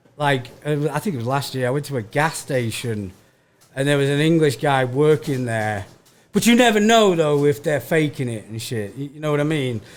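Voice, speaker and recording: A man's fairly high voice in a Manchester accent, moderate in pace with lively intonation, music in the background. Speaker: stand-up comedian. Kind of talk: casual chat. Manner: stammering repetitions.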